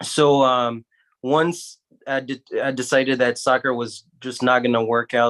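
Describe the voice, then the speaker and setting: A man with a medium pitch speaks at a fairly slow pace in a monotone with flat intonation, the sound dry and close with no echo. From Guinea, West Africa. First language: French. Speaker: surgeon, medical school alumnus. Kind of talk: panel discussion. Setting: livestream.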